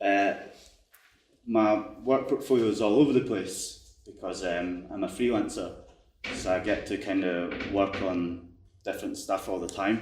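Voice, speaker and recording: Speaking with a Scottish accent, a man talks at a fairly slow pace with long, frequent pauses and big swings in loudness, in a room with audible echo. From Scotland. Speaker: game developer. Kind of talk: conference talk. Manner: casual, many fillers.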